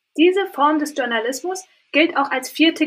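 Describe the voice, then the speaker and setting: Her voice is raised and projected. The woman speaks with lively intonation. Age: 20s. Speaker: media scholar and author. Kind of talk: interview. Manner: formal.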